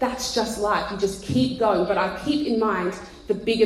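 Over noticeable background noise, a woman speaks at a medium pitch with an Australian accent. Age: 30s. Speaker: pastor. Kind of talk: casual chat. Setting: stage with audience.

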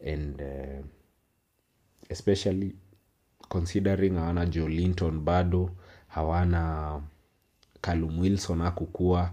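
A man with a Kenyan accent speaks in a very deep, low pitch with a dark, mellow tone, flat monotone intonation, and long, frequent pauses. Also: fairly slow pace, quiet background. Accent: Kenyan English, Sheng code-switching. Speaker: football podcaster. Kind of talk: solo commentary, code-switched English-Swahili. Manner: casual.

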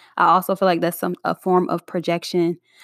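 An ordinary speaking voice belongs to a woman with a fairly low pitch. The recording is very clean, with a silent background. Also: dry, close sound with no echo. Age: 20s. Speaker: podcast host. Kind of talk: casual solo monologue. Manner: free-flowing, filler-heavy.

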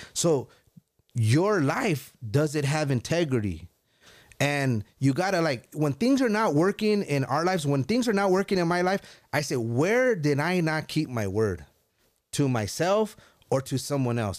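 On a very clean recording with a silent background, a man with an American accent speaks fairly slowly at a fairly high pitch, with very wide pitch swings and very even loudness. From US, Mexican-Italian family. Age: 40s. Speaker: entrepreneur in financial services and real estate. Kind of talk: casual chat; motivational talk.

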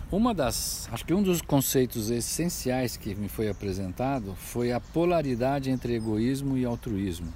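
A man speaks at a medium pitch and a moderate pace, with lively intonation and hardly any pauses. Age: 60s. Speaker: business consultant, former executive. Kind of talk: personal reflection monologue. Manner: halting, with many fillers.

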